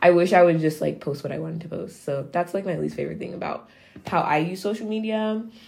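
In a Californian accent, a woman talks very fast in an animated tone, with big shifts in loudness and ordinary pitch variation. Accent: Californian American English. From Nigeria, raised in San Francisco Bay Area. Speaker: podcast co-host. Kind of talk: casual chat. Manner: animated, laughing often.

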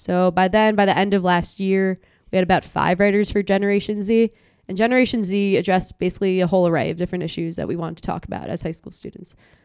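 A woman speaks very fast at a medium pitch with an American accent. Her intonation is fairly even, but her loudness swings widely. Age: young. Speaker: student political activist. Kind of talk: interview.

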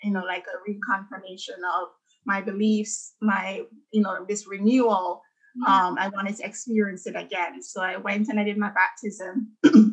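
This woman's voice is somewhat breathy, sitting at a medium pitch with ordinary pitch variation. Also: moderate pace. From Jamaica. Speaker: architect and dancer. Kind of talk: casual interview about personal story.

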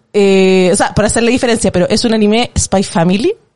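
A woman's ordinary speaking voice at medium pitch, with ordinary pitch variation. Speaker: podcast guest, film fan. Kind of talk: casual chat.

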